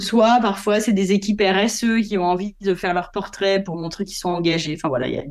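The woman's voice sits at a medium pitch, and her intonation stays fairly even. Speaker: photographer. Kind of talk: interview. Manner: hesitant.

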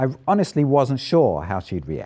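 A man with a southern English accent talks at a fairly slow pace in a medium pitch. His tone is dark and mellow, with very wide pitch swings. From southern England, Isle of Wight. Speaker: professor. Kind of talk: talk to audience.

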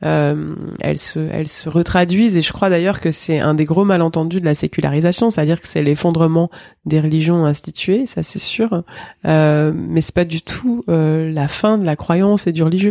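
Her tone is dark and mellow. The woman speaks at a moderate pace in a fairly low pitch. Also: ordinary pitch variation. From France, Drôme. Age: 40s. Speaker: theologian and author. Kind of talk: interview conversation. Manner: halting.

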